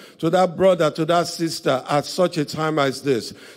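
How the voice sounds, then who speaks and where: Moderate pace from a man, the background quiet. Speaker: pastor leading service. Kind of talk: prayer. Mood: reverent, earnest. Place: church. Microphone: handheld.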